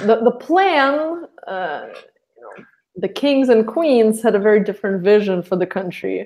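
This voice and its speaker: A woman's fairly high voice in a Russian accent, fairly slow, with lively intonation and big swings in loudness. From Russia (Saint Petersburg). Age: 30s. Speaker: guest. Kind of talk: casual chat.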